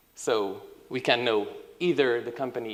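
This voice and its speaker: Room echo is audible while a man speaks very slowly. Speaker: software engineering team lead. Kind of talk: conference talk.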